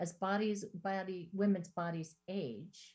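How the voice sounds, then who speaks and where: A somewhat breathy woman's voice. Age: 60s. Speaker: therapist, guest speaker. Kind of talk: talk with slides to a women's group. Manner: hesitant, with fillers and restarts.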